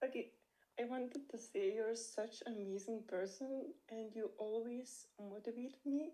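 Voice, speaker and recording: Her tone is dark and mellow, and a woman speaks at a fairly slow pace. Her pitch is fairly high, with ordinary variation. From Lithuania. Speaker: coaching client. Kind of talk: emotional thanks in group call.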